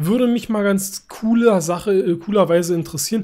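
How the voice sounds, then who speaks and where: A man speaks in a dark, mellow tone. His intonation is lively and his pace moderate. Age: 30s. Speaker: gaming YouTuber. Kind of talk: gameplay commentary. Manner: animated. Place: home room.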